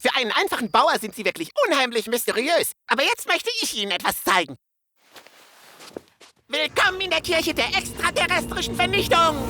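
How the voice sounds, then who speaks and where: A cartoonish character voice, cheerful and high-pitched, with very wide pitch swings. It moves at a fairly quick pace between long, frequent pauses. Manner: eager, creepy cheerful.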